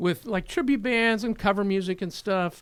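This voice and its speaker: A man with an American accent at a moderate pace, on a very clean recording with a silent background. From California East Bay. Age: 60s. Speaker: rock musician. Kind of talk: podcast interview.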